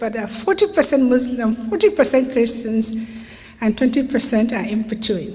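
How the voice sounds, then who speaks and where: The speech moves at a moderate pace. There is audible room echo along with noticeable background noise. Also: woman. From Nigeria. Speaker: human rights lawyer. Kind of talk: lecture.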